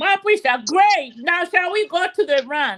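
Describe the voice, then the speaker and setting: A woman speaks loudly in a bright, sharp tone. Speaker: talk show host. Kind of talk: casual chat.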